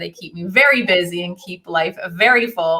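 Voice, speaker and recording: With a Canadian accent, the speaker uses a bright, sharp tone, ordinary pitch variation and a moderate pace. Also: woman. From Canada, Ontario. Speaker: coach and college professor. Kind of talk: online workshop presentation.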